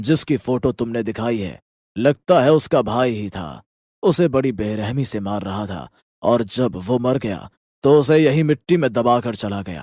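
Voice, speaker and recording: A man uses a cartoonish character voice at a medium pitch and a moderate pace, recorded very cleanly with a silent background. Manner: calm, measured.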